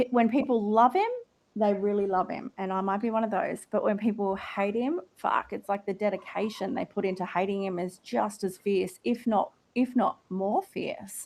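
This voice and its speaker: A woman with an Australian accent speaks at a moderate pace. Her pitch is medium and her intonation fairly even. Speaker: live audio room host. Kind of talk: casual group chat.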